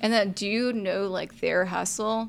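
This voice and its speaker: A woman speaks with a Texan accent. The recording is very clean, with a silent background. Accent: Texan American. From Texas, Arlington area. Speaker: startup community founder. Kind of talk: interview. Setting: studio. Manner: casual, laughs often.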